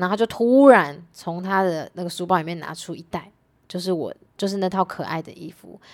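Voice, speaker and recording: A woman talks fairly quickly in an ordinary speaking voice at medium pitch. Her loudness swings widely while her pitch varies in an ordinary way. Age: 20s. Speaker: tutor and YouTuber. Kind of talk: casual chat.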